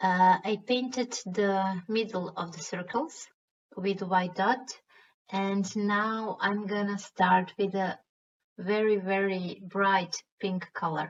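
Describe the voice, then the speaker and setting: A woman with a Croatian accent speaks at a very slow pace in a somewhat breathy, medium-pitched voice with fairly even intonation. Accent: Croatian accent, self-described as bad. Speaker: stone painting artist. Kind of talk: tutorial.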